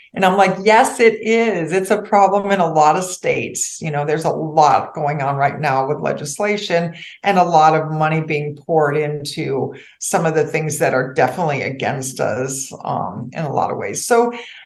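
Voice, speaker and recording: Intonation is lively and the pace moderate. Audible room echo is present. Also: woman, very deep, low pitch for a woman. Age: 60s. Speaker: financial advisor. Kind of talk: podcast interview.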